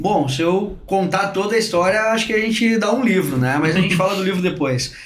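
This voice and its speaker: The loudness stays very even throughout. Audible room echo and noticeable background noise are both present. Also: man, high pitch for a man, ordinary pitch variation, fairly quick pace. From southern Brazil, Rio Grande do Sul (Porto Alegre). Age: 40s. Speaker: sales director. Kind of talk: podcast interview. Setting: studio. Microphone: too far from the mic at first.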